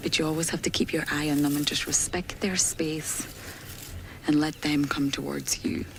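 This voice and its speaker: A soft-spoken woman with a very deep, low pitch talks at a moderate pace over noticeable background noise. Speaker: safari guide. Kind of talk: live commentary. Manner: animated.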